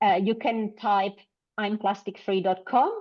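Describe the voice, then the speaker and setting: Speaking at a fairly slow pace with a non-native accent, this woman has a medium pitch and fairly even intonation. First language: not English. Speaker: small business founder. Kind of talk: interview. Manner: halting, many fillers.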